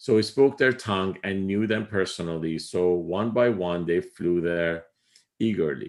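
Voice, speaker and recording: This man's voice is very deep and low, with ordinary pitch variation. He speaks with an Iranian accent at a moderate pace. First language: Farsi. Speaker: spiritual teacher. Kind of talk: lecture. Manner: halting, many fillers.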